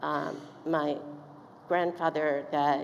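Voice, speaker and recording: Audible room echo and noticeable background noise around a voice with an American accent. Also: woman. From East Texas. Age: 70s. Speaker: commencement speaker. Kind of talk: commencement speech. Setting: stage with audience. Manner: halting.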